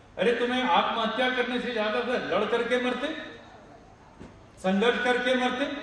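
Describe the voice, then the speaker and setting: In a Telangana accent, the speaker keeps a fairly even intonation with long, frequent pauses. Audible room echo and noticeable background noise fill the recording. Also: man, extremely high pitch for a man. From Andhra Pradesh, India (Srikakulam). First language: Telugu (speaking Hindi). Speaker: activist speaker. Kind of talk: rally speech. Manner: impassioned.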